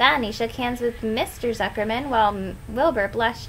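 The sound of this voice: The reading voice is unforced, its intonation fairly even.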